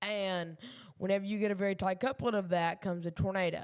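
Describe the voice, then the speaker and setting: A woman with a Southern US accent and fairly even intonation. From Kentucky. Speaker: amateur weather streamer. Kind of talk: live weather commentary. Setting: live stream at home desk. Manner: halting, many fillers.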